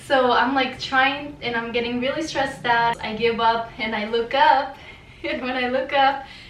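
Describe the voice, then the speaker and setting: With a Spanish accent, a woman speaks at a moderate pace in a high voice with fairly even intonation, heard through audible room echo and noticeable background noise. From Mexico. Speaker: vlogger. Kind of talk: casual storytelling.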